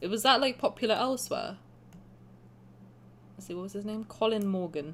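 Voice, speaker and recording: With an English accent, a woman talks at a fairly quick pace and medium pitch, showing ordinary pitch variation and big swings in loudness. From England. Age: 20s. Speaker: game streamer. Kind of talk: live stream gameplay commentary. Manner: casual, rambling with fillers.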